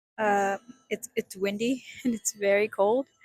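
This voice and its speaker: An American accent in a dry, close recording with no echo. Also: woman. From Mexican American, US. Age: 20s. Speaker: vlogger. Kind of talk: casual vlog monologue. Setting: outdoors in a park. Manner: rambling, hesitant with fillers.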